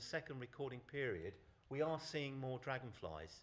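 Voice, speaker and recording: A man speaks with a southern English accent. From southern England. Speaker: conference speaker on dragonflies. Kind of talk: conference presentation.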